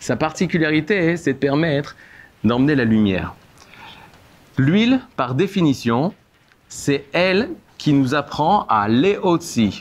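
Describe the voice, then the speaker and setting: Speech comes at a very slow pace with long, frequent pauses, very even loudness and very wide pitch swings. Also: man, fairly high pitch for a man. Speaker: rabbi teaching a class. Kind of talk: lecture.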